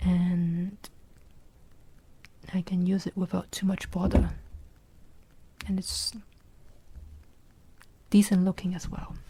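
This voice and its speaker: The speaker is soft-spoken and has a relaxed tone. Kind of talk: soft-spoken ASMR ramble about a watch modding project. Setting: indoors at a workbench. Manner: soft-spoken, slow, relaxed.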